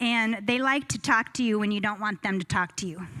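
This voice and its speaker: A woman's bright, sharp voice at a moderate pace, with ordinary pitch variation. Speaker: motivational speaker. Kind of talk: keynote talk.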